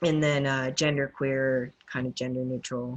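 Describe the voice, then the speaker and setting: A woman with a very deep, low voice speaks at a moderate pace with fairly even intonation. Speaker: interview guest. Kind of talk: interview. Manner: casual, many fillers.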